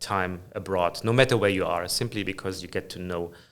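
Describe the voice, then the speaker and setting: In a slight German accent, a man talks at a fairly quick pace and fairly low pitch with fairly even intonation, on a very clean recording with a silent background. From Germany. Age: 50s. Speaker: finance executive. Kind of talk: interview conversation. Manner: frequent hesitations.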